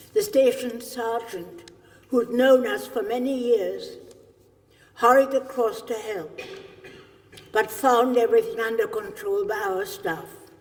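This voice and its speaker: Over noticeable background noise and audible room echo, a woman with a German accent speaks at a high pitch and fairly slow pace, with very wide pitch swings and long, frequent pauses. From Germany. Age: 80s+. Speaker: Holocaust survivor. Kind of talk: testimony. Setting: stage with audience.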